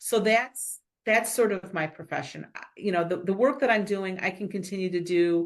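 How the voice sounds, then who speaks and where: A woman's medium-pitched voice at a moderate pace, with ordinary pitch variation, a plain, everyday voice. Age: 60s. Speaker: business leader and board director. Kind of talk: interview.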